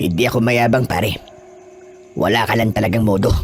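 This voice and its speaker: Over clear background music, a man puts on a raspy character voice at a medium pitch, talking at a fairly quick pace. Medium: audio drama. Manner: cool, self-assured.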